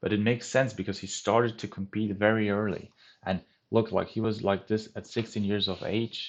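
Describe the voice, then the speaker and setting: Over a quiet background, a man with a German accent talks in a monotone, flat intonation. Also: fairly low pitch for a man, moderate pace. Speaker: bodybuilding youtuber. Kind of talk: casual vlog talk.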